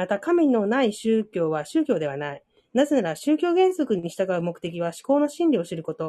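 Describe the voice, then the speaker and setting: A woman speaks at a moderate pace in a medium pitch, her tone dark and mellow, with very wide pitch swings. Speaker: reading group participant. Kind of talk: casual discussion and reading aloud. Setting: online audio room.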